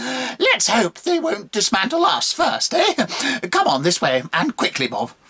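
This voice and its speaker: Using a put-on character voice pitched extremely high, a man talks at a fairly slow pace with hardly any pauses. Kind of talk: fiction narration with character voices. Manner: chatty, urgent.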